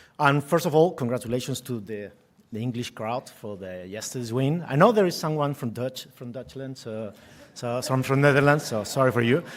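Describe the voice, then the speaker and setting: A man with a Spanish accent talks at a fairly quick pace, his medium pitch showing ordinary variation while his loudness swings widely. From Spain. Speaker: tech executive and part-time professor. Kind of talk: conference presentation. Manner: halting, repeats words.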